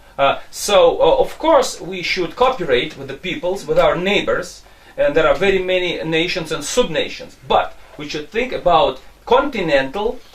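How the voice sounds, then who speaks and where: There are big swings in loudness as a man speaks over noticeable background noise. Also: moderate pace. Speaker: interviewer. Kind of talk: interview.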